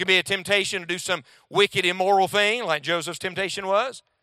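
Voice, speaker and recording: A man's raised, projected voice with a bright, sharp tone at a moderate pace, dry and close with no echo, on a very clean recording with a silent background. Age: 40s. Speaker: preacher. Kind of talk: sermon.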